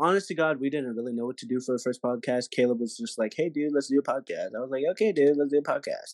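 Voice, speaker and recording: A man with an American accent and lively intonation, in a dry, close sound with no echo and a quiet background. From Texas. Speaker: podcast co-host and actor. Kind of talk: casual chat. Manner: halting, many fillers.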